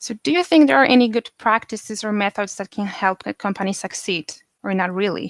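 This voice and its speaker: On a very clean recording with a silent background and a dry, close sound with no echo, a woman with a Polish accent speaks fairly quickly at a medium pitch with ordinary pitch variation. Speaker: podcast host. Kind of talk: interview; scripted podcast intro.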